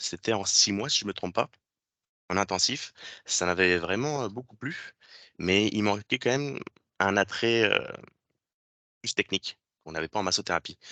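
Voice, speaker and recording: At a moderate pace with long, frequent pauses, the voice has a bright, sharp tone and ordinary pitch variation, recorded dry and close with no echo against a quiet background. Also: man, fairly low pitch for a man. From France. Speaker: physiotherapy technician, former student. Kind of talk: presentation to students. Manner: hesitant, many fillers.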